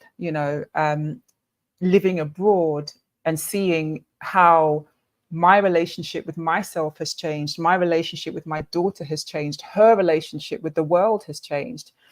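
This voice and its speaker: On a very clean recording with a silent background, a woman with a British accent speaks fairly slowly at a fairly low pitch, her intonation fairly even and her loudness swinging widely. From Britain. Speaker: summit speaker. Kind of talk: panel discussion.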